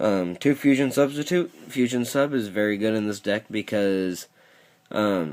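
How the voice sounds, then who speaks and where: In a very clean recording with a silent background, a man with a fairly low pitch speaks at a fairly slow pace with lively intonation. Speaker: card game YouTuber. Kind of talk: deck profile tutorial.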